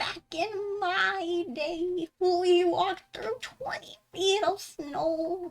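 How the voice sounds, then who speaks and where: A female-sounding, put-on character voice with extremely high pitch. It moves very slowly with hardly any pauses. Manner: comically crotchety, complaining.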